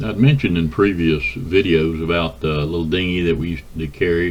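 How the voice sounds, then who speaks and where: In a Southern US accent, a man talks at a very deep, low pitch, with audible room echo around him. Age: 60s. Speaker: boat builder and video blogger. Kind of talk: casual vlog monologue. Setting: garage. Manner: halting, many fillers.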